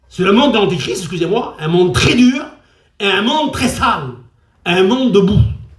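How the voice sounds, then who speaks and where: Amid audible room echo, a man with a high pitch speaks at a moderate pace with long, frequent pauses and very wide pitch swings. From France, Traveller (Gitan) community. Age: 60s. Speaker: preacher. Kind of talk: sermon.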